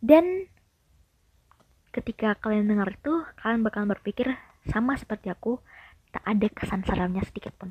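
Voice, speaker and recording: A woman with a fairly high pitch and somewhat breathy voice speaks at a moderate pace with lively intonation and long, frequent pauses, in dry, close sound with no echo. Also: big swings in loudness. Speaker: horror story channel host. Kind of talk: reading aloud a horror story. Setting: bedroom, not soundproof.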